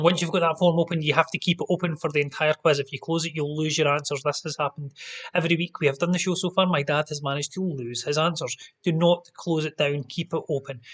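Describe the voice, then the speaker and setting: A man with a Scottish accent and a fairly high pitch talks at a very fast pace. His intonation is monotone and flat, and the sound is dry and close with no echo. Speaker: quiz host. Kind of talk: live-streamed pub quiz hosting. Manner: loud; casual, chatty.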